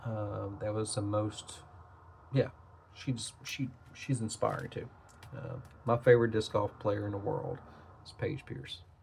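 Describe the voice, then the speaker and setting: Over noticeable background noise, a man with an American accent speaks at a fairly slow pace and a medium pitch, with ordinary pitch variation and long, frequent pauses. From Tennessee (Nashville). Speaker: trading card collector / YouTuber. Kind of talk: casual product review, card opening. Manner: casual, hesitant with fillers.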